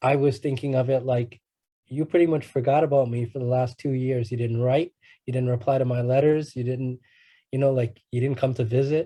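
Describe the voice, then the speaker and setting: Against a quiet background, a medium-pitched man speaks in a flat monotone with a dark, mellow tone and a somewhat breathy quality. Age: 30s. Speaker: guest speaker, ex-prisoner and rapper. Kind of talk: talk at youth conference. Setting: conference. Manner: halting, many repeated words.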